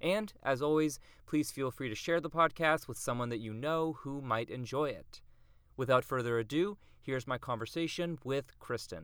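A man with an American accent, fairly high pitch and ordinary pitch variation at a moderate pace, on a very clean recording with a silent background. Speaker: podcast host and teacher. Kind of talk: scripted podcast intro.

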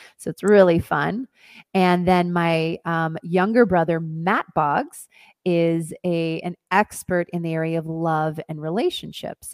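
In a dry, close recording with no echo, a woman with an American accent and an ordinary speaking voice talks at a fairly slow pace with a fairly low pitch. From US Northwest, Oregon. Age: 40s. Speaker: dance teacher and wellness coach. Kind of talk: interview.

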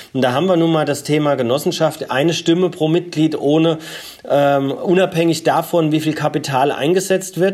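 A man's fairly high voice at a moderate pace, with very even loudness. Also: fairly even intonation. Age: 40s. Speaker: energy cooperative founder and CEO. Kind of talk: interview. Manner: frequent filler hesitations.

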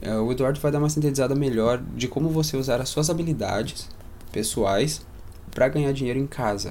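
A man talks at a fairly quick pace with a medium pitch and ordinary pitch variation. His loudness stays very even, and room echo is audible. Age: 20s. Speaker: real estate investor. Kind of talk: casual interview chat. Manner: animated.

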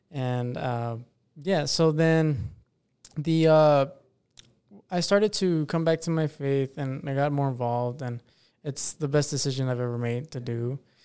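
A man's fairly high voice with a dark, mellow tone, ordinary pitch variation, a fairly slow pace and long, frequent pauses. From Texas, El Paso. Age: 20s. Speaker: military member and podcast host. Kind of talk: casual interview testimony.

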